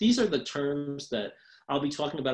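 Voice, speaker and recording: A man at a very fast pace with very wide pitch swings. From New York. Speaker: social work professor. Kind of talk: lecture. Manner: hesitant with frequent ums.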